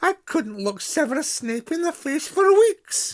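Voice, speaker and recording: A man in a put-on character voice at a fairly slow pace, on a very clean recording with a silent background. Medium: read story. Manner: crisp, stern.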